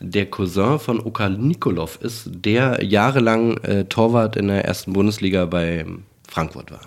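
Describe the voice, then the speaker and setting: Speaking at a very slow pace, a man with a fairly low pitch shows ordinary pitch variation. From Berlin. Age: 40s. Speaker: dubbing director. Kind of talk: casual chat. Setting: home living room.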